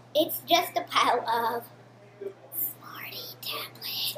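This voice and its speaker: In a put-on character voice that sounds female, someone whispers at a fairly slow pace. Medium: read story. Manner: deadpan, bleating.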